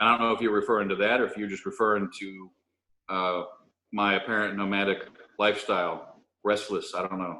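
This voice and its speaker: A man's bright, sharp, fairly low voice, monotone and flat, at a fairly quick pace with long, frequent pauses. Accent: slight Southern US. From moved around a lot as a military child. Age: 40s. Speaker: chef and restaurant owner. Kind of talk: casual interview chat. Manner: hesitant, many fillers.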